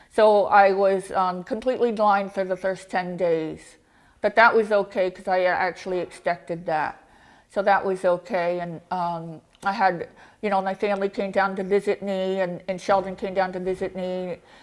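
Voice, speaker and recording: At a moderate pace, a woman speaks in a monotone, flat intonation, recorded very cleanly against a silent background. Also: medium pitch for a woman. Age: 40s. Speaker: face transplant recipient giving a talk. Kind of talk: talk to a club audience.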